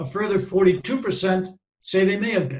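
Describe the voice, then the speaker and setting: A man with a high voice and a Boston accent, at a moderate pace. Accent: Boston American. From US Northeast (Boston). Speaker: safety and health professional. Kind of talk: presentation.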